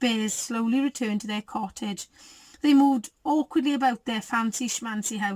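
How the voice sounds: The reading voice sounds natural, and its pitch varies in an ordinary way.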